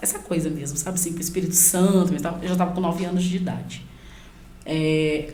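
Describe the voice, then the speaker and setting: Flat, monotone intonation comes at a fairly quick pace with audible room echo. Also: woman, fairly low pitch for a woman. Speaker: pastor and youth leader. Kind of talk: podcast interview, life testimony.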